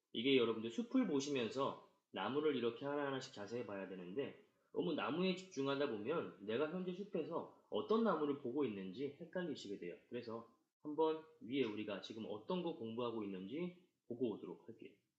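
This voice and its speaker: Talking at a fairly quick pace, a man's pitch swings very widely amid audible room echo. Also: fairly high pitch for a man. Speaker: tax accountant lecturer. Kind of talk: lecture. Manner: fast.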